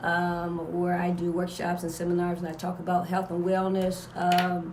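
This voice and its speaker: A woman speaks at a moderate pace with a fairly low pitch and monotone, flat intonation. Audible room echo and noticeable background noise fill the recording. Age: 60s. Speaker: wellness workshop leader and aromatherapist. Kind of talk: radio interview. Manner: halting, many fillers and repetitions.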